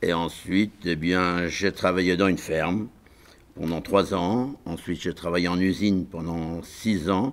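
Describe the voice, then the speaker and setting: Fairly even intonation marks this man's speech. He talks at a fairly slow pace with a very deep, low pitch. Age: 70s. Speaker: estate caretaker. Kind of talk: interview testimony. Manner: hesitant, many fillers.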